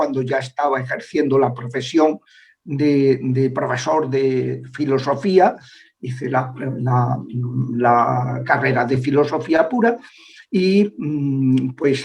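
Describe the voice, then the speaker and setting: Very slowly, a man speaks with a fairly high pitch and ordinary pitch variation. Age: 60s. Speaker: priest and former exorcist. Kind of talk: interview. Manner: halting, many filler sounds.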